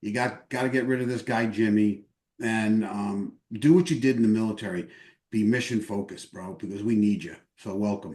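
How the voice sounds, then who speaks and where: Against a quiet background, a man with a New York accent speaks in a dark, mellow tone at a fairly low pitch with ordinary pitch variation. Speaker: veterans group leader, army veteran. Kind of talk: endorsement interview. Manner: fast.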